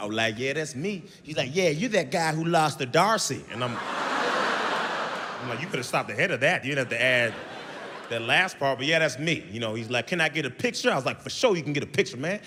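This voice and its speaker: An energetic, animated man at a fairly high pitch and a fairly quick pace, with noticeable background noise. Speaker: stand-up comedian. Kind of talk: stand-up comedy set.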